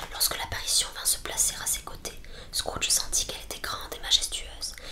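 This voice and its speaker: A woman whispering at a fairly quick pace over noticeable background noise. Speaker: ASMR creator. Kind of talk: whispered audiobook reading.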